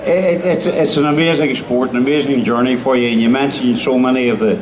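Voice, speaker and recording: Speaking with a Northern Irish accent at a moderate pace, a man uses a fairly high pitch with ordinary pitch variation, amid audible room echo and noticeable background noise. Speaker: event host. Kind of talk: on-stage interview. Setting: stage with audience.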